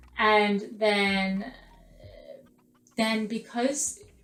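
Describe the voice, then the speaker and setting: A woman with an Australian accent speaks at medium pitch. Her intonation is monotone and flat, and the room echo is audible. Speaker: vlogger, former drama student. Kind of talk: casual vlog talk to camera.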